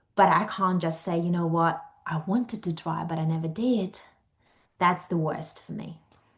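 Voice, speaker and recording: A woman speaks at a moderate pace with a fairly low pitch. Her intonation is fairly even and her voice somewhat breathy. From Ukraine. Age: 30s. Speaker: life coach. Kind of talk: podcast interview.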